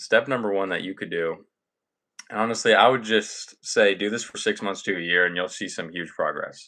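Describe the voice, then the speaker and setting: In a normal speaking voice, a man with a fairly low pitch and ordinary pitch variation talks at a moderate pace against a quiet background. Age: 20s. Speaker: self-improvement content creator. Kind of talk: live stream talk. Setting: live stream.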